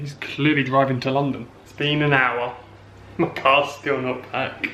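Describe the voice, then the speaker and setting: Pitched fairly high, a man with an English accent speaks at a fairly slow pace in a monotone, flat way, with audible room echo and noticeable background noise. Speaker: vlogger with chronic illness. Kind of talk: casual vlog. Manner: hesitant; whispering.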